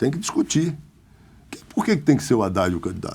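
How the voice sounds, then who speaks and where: Vocal fry runs through a dark, mellow tone. The pitch rises and falls very widely. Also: man. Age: 60s. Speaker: politician. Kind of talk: interview.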